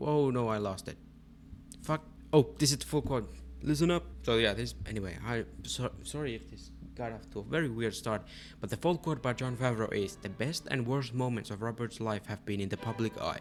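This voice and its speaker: Over background music, a man with a non-native accent speaks at a fairly quick pace in a medium pitch with ordinary pitch variation. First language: not English. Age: 20s. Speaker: movie review youtuber. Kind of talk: unscripted casual rant. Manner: animated.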